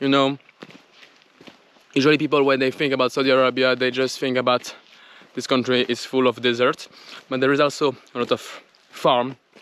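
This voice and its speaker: A man's medium-pitched voice at a moderate pace, dry and close with no echo. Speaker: travel vlogger. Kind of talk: casual vlog talk to camera. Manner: quiet; animated.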